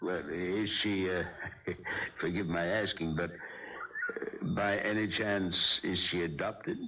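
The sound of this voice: A man puts on a character voice, low-pitched and slow, with very wide swings in pitch. The room echo is audible.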